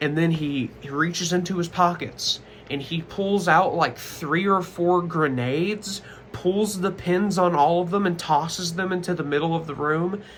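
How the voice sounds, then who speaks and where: This man's voice sits high in pitch, with fairly even intonation. He talks at a moderate pace. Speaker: commentary youtuber. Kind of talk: casual vlog monologue. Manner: stuttering.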